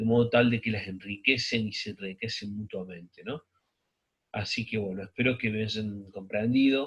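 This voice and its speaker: Somewhat breathy, a man with a medium-pitched voice talks at a moderate pace with fairly even intonation. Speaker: sociology teacher. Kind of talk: recorded lecture. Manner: halting, many fillers.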